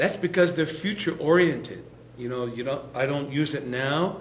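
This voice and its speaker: There is noticeable background noise, and room echo can be heard. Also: man. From Lakota, US Great Plains. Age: 60s. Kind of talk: lecture.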